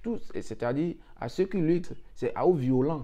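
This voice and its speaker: The speaker is a man. He has a dark, mellow tone. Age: young. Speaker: YouTuber giving visa advice. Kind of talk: motivational talk to viewers. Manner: hesitant, repeats words.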